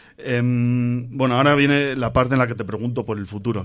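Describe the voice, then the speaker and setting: A man at a moderate pace, with audible room echo. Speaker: podcast host. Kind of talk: live on-stage interview. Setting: stage with audience.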